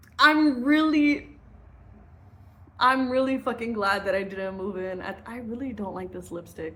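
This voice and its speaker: With an American accent, a woman speaks at a fairly slow pace in an animated tone, and the room echo is audible. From US Midwest. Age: 20s. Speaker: vlogger. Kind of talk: casual storytime.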